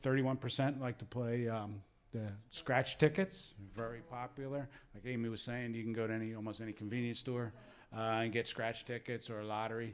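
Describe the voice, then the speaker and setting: An American-accented man, fairly quick, with fairly even intonation. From southern New Jersey. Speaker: gambling education advisor; presenter. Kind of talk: presentation. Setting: room with live audience. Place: meeting room. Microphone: handheld.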